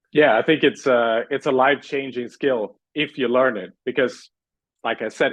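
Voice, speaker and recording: With a Swedish accent, this man talks at a fairly quick pace, his medium-pitched voice keeping a fairly even intonation. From Sweden. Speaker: communications coach. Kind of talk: interview.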